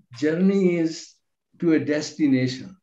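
A man speaks at a very slow pace in a dark, mellow tone with ordinary pitch variation. Audible room echo surrounds his voice. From India. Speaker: law professor. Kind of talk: panel speech. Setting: video call. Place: home room. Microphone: video call.

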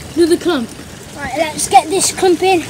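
The speech moves at a moderate pace, with a dry sound that has no echo and noticeable background noise. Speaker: garden pond vlogger. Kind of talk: casual vlog chat. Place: garden. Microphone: phone near.

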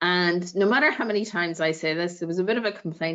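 Against a quiet background, a woman with a Northern Irish accent talks at a very fast pace in a fairly low pitch with fairly even intonation. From Northern Ireland. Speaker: equality advisor. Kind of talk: presentation. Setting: video call. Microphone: video call.

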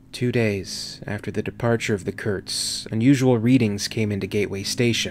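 The text is read aloud plainly. Its intonation is fairly even.

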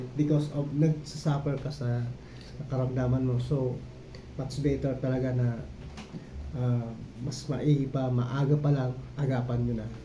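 Audible room echo surrounds a man talking at a medium pitch and moderate pace in a flat monotone, with long, frequent pauses. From Bicol region, Philippines. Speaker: YouTube vlogger. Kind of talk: personal vlog monologue. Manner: halting, many fillers.

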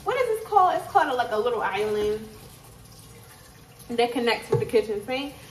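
A woman talks at a fairly quick pace. Audible room echo and light background noise surround her voice. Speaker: vlogger. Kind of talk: casual vlog chat. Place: kitchen. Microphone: phone near.

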